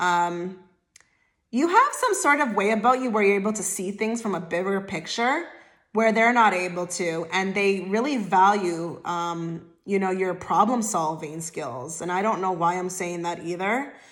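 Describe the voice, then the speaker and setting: With audible room echo, a woman speaks at a moderate pace with a medium pitch and ordinary pitch variation. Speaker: tarot reader. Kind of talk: tarot reading to camera. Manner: stutters over words; casual, filler-heavy.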